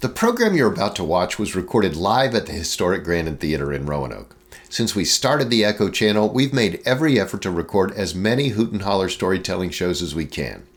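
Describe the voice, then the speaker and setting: An ordinary speaking voice, fairly quick with hardly any pauses and lively intonation. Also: man, fairly low pitch for a man. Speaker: TV program host. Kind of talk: program introduction and fundraising appeal.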